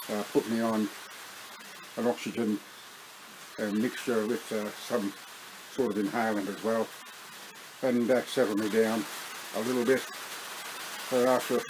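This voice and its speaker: Noticeable background noise sits behind a man speaking at a moderate pace. His intonation is monotone and flat, broken by long, frequent pauses. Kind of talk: casual vlog chat. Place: home room. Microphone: webcam.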